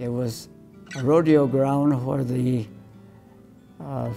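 Faint music plays behind a man with an American accent. He speaks at a very slow pace. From Colorado, USA. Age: 80s+. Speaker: professor emeritus of animal sciences. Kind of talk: interview answer. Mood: warm, smiling reminiscence. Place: meeting room. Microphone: lapel.

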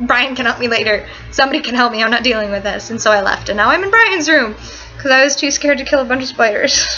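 A woman talks at a very fast pace with a high pitch. Faint music plays in the background, and her pitch variation is ordinary. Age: 18. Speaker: vlogger. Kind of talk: casual vlog storytelling. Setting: boyfriend's dorm room. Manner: fast, run-on storytelling. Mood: animated, storytelling. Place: home room. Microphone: webcam.

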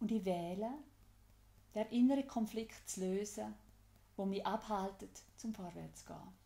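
A woman with a Swiss accent speaks fairly slowly at medium pitch. Her loudness swings widely, and she takes long, frequent pauses. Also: fairly even intonation. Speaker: EFT tapping guide. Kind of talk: guided tapping instruction.

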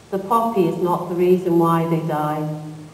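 The speaker sounds angry and talks at a fairly slow pace. There is noticeable noise in the background. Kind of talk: spoken-word poem performed. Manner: impassioned, rhythmic, angry, emphatic.

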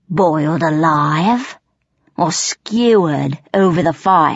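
A female-sounding voice growls through a put-on character voice at a middle pitch and a very slow pace. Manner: menacing, blustering, coarse.

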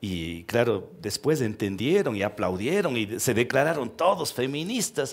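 Very wide pitch swings at a fairly slow pace. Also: man. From Ecuador, Cuenca region (Cañari); Ecuador. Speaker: talk show guest. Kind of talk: interview before a live audience. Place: stage. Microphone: headset.

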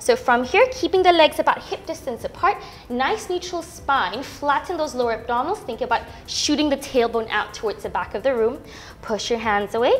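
A woman's high-pitched voice at a fairly quick pace, with very wide pitch swings and music in the background. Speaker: Pilates instructor. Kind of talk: fitness class instruction. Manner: encouraging, rhythmic cueing; calm, instructive. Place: gym.

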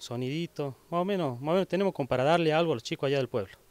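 Lively intonation marks this man's fairly high-pitched voice. The sound is dry, with no echo. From Argentina, Catamarca (Oyola); Catamarca, Argentina. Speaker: community activist. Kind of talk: interview; interview answer. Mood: calm, modest. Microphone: handheld.

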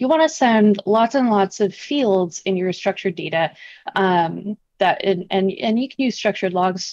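A woman talks at a fairly slow pace with ordinary pitch variation and very even loudness. The sound is dry with no echo, and the background is quiet. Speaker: remote guest. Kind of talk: interview answer. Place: home room. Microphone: video call.

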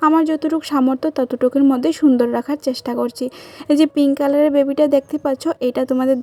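Noticeable background noise is audible. The intonation is fairly even. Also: woman, dry, close sound with no echo. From Tripura, India (village near Agartala). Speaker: vlogger. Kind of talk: home tour vlog. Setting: at home, self-filmed. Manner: warm, chatty.

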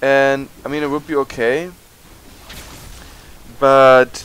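Here a man talks at medium pitch with a fairly bright tone.

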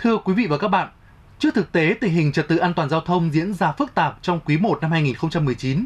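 This man talks at a moderate pace. His voice is high, with lively intonation. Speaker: TV news anchor. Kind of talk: news reading. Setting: studio. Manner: formal. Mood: formal, serious. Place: studio.

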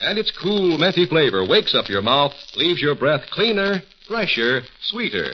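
Against noticeable background noise, a man with a high pitch speaks with lively intonation. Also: moderate pace. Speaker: radio announcer. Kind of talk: commercial announcements. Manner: formal and polished. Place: studio. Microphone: old recording.

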